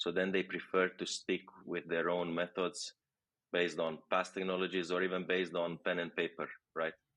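A man with a Romanian accent talks at a moderate pace in a very deep, low pitch with monotone, flat intonation. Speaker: tech product executive. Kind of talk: interview.

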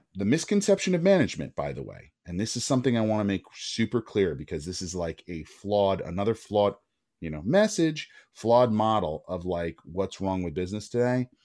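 The speaker has a plain, everyday voice and a fairly quick pace. The recording is very clean, with a silent background. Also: man, fairly low pitch for a man. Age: 40s. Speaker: agency co-founder. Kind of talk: podcast interview.

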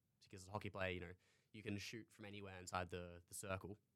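Speaking at a very fast pace in an Australian accent, a man uses a very deep, low pitch and a bright, sharp tone with monotone, flat intonation. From North Queensland, Australia (Townsville). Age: 20s. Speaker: university student and hockey goalkeeper. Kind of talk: interview.

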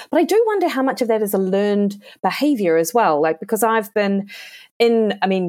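In an ordinary speaking voice, a woman keeps a moderate pace and ordinary pitch variation. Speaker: podcast host. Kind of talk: podcast interview.

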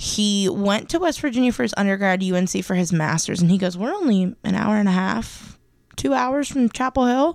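On a very clean recording with a silent background, a woman speaks at a medium pitch and moderate pace with very wide pitch swings. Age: 20s. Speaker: student podcast co-host. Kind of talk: casual chat.

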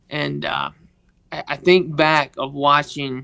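This is a man speaking with a Southern US accent. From Mississippi, US South. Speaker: guest, sports equipment manager. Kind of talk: interview, personal testimony. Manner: halting, with many fillers.

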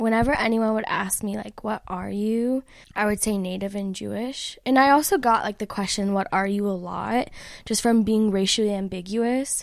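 A woman's normal speaking voice, fairly high-pitched, with an American accent and a moderate pace, in a very clean recording over a silent background. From Chicago. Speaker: philosophy PhD student and poet. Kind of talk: interview conversation; poetry reading. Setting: in-person interview.

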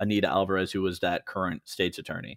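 In a Midwestern American accent, a man talks with a very deep, low pitch and monotone, flat intonation. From western Illinois (Moline). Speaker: political digital media director. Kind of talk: casual interview.

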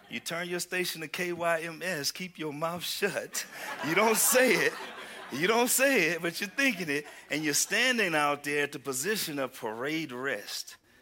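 Over noticeable background noise, a man speaks with a Southern US accent in an animated tone. His pitch is high and his intonation lively. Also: moderate pace. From Houston, Texas. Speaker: preacher. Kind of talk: sermon. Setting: church.

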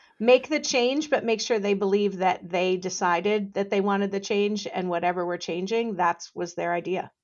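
A woman's plain, everyday voice at a medium pitch and moderate pace, with ordinary pitch variation and hardly any pauses. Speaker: legal industry consultant. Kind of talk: podcast interview.

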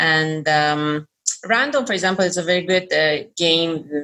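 With a Persian accent, a woman talks at a fairly low pitch with ordinary pitch variation. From Iran. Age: 40s. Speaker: toy designer and bilingual parenting expert. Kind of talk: interview. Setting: video call.

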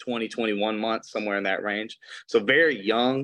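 Against a quiet background, a man at medium pitch speaks with a Mississippi accent in a bright, sharp tone and fairly even intonation. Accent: Southern US (Mississippi). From US South, Mississippi Gulf Coast. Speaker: attorney. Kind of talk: testimony.

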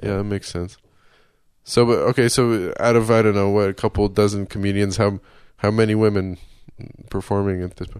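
A man with an American accent talks at a fairly quick pace in a fairly low, monotone, flat voice, with big swings in loudness and long, frequent pauses against a quiet background. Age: 30s. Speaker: podcast host and comedian. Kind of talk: casual interview.

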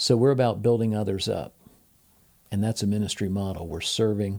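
In a very clean recording with a silent background, a man with an American accent uses a normal speaking voice, a fairly low pitch, fairly even intonation and a fairly quick pace. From US Midwest, Ohio. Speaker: university professor and former radio host. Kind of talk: casual interview.

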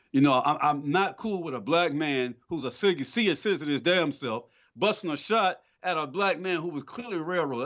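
A man with an American accent, fairly high in pitch with vocal fry, at a moderate pace. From Atlanta, Georgia, US South. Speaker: film podcast co-host. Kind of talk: casual chat.

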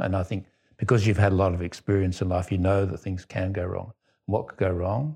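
Against a quiet background, a man with an Australian accent speaks at a moderate pace with a very deep, low pitch, a dark, mellow tone, somewhat breathy delivery and fairly even intonation. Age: 80s+. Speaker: psychotherapist, former doctor. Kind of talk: group lunch conversation.

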